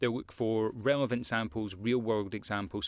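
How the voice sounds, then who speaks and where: Over a silent background in a very clean recording, a man with a Scottish accent talks at a very fast pace, with a fairly low pitch and ordinary pitch variation. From Scotland. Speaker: voice-over artist. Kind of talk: tutorial. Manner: casual, with frequent fillers and repetitions.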